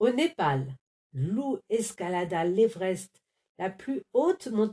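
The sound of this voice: A quiet background sits behind the speech. The reading voice is unforced.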